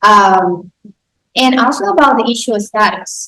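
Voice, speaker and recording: With a bright, sharp tone and a fairly high pitch, a woman speaks at a fairly slow pace. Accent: Spanish. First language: Spanish. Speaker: podcast host. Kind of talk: interview. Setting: live recording with audience.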